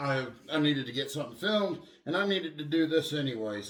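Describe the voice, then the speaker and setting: A man talks at a fairly quick pace with a fairly high pitch. Audible room echo and noticeable background noise are present. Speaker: car enthusiast YouTuber. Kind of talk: casual garage vlog.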